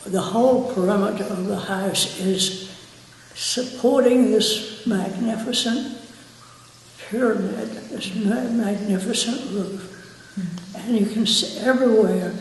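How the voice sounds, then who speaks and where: Over noticeable background noise, a woman with an American accent talks at a very slow pace in a fairly high pitch with fairly even intonation. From Virginia, USA. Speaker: architect and builder. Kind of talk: interview answer.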